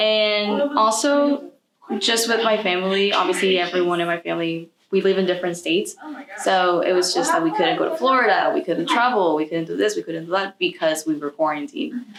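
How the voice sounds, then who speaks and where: An unremarkable speaking voice with lively intonation at a fairly quick pace. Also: woman, medium pitch for a woman. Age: young. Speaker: college student. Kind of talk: interview.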